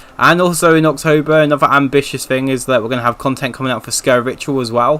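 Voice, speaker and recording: Delivered at a very fast pace, the speech has a bright, sharp tone, fairly even intonation and a British accent. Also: man. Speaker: gaming streamer. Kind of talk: casual chat. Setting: live stream. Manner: monotone.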